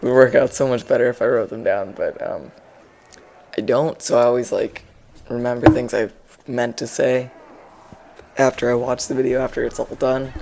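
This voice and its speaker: Speaking at a moderate pace with long, frequent pauses, a man is heard over noticeable background noise. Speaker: gaming commentator. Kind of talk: gameplay commentary. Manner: monotone; halting.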